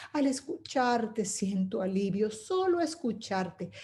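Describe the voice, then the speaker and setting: A woman talks in a dark, mellow tone. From Venezuela. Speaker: poet and storyteller. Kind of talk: poetry reading.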